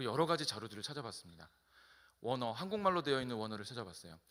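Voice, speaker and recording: Very wide pitch swings mark this bright, sharp-toned voice. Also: man. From South Korea, Incheon. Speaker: pastor. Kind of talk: sermon.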